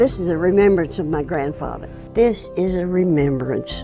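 Clear music plays in the background of a dry recording with no echo. A woman speaks at a moderate pace and fairly low pitch, with ordinary pitch variation. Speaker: glass artist. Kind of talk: personal storytelling to camera. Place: garden. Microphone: lapel.

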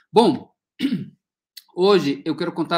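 A man speaks with a Spanish accent. The background is quiet. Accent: Spanish-accented Portuguese, rusty. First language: Spanish (speaking Portuguese). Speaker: ecology researcher, professor; professor. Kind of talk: academic lecture. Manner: halting, many repetitions and fillers. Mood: friendly, relaxed. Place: home room. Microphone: earbuds.

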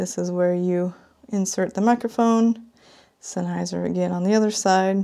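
A woman's dark, mellow tone, fairly slow pace and ordinary pitch variation, over a quiet background. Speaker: product reviewer. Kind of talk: unboxing commentary.

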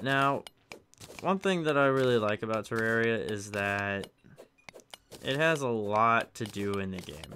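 Pausing long and often, a man with a medium pitch talks at a fairly slow pace with lively intonation. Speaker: gaming video creator. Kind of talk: let's play commentary. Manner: quiet; halting, hesitant.

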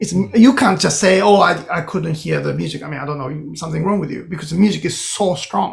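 A man with a Japanese accent talks at a very fast pace, with hardly any pauses, over a quiet background. His pitch is high and his intonation lively. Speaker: composer; podcast guest. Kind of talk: interview. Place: home room. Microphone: webcam.

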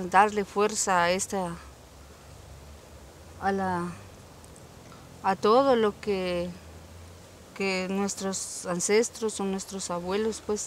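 Very slowly and in a flat monotone, a woman speaks with long, frequent pauses, her voice dry and echo-free against light background noise. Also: medium pitch for a woman. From Zacualpa, Guatemala. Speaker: medicinal plant knowledge advocate. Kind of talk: interview answer. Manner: hesitant, reflective. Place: farm.

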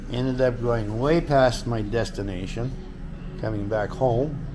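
A man talks at a moderate pace with ordinary pitch variation while music plays behind him. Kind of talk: casual vlog chat. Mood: annoyed, complaining. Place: garage.

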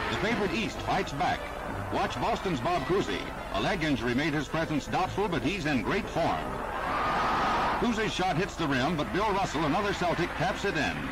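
A man at a moderate pace, against loud background noise. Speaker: newsreel narrator. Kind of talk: vintage newsreel narration. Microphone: old recording.

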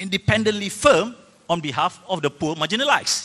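This man has a bright, sharp tone and lively intonation. He speaks at a moderate pace. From Malaysia. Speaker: senator. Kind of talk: panel discussion. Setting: stage with audience. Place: hall. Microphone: handheld.

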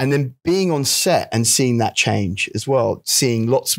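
Against a quiet background, a man with a London accent speaks at a medium pitch with lively intonation and a moderate pace. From London, England. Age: 40s. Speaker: actor and stand-up comedian. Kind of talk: interview answer. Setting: live panel event. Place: hall. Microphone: handheld.

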